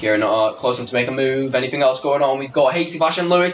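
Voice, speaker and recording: With noticeable noise behind him, a man rattles off his words at a very fast pace. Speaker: sim racing league commentator. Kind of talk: live commentary. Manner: animated; high pitched when excited.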